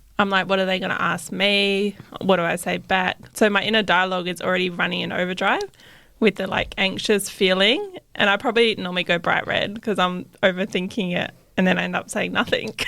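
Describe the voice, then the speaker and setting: With an Australian accent, a woman talks at a fairly quick pace. Her intonation stays flat and monotone. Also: medium pitch for a woman. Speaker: podcast co-host. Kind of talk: casual chat. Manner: quiet.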